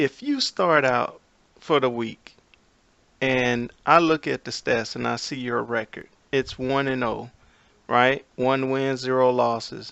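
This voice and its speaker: Pitched at a medium level, a man speaks at a very slow pace with fairly even intonation. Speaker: gaming video commentator. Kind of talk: casual rant over screen recording. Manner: slow, deliberate explaining.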